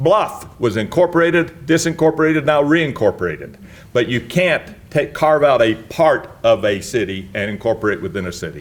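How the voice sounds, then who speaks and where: With vocal fry and very wide pitch swings, a man talks at a moderate pace in a fairly high voice. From Utah, Murray. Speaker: municipal attorney. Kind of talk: lecture.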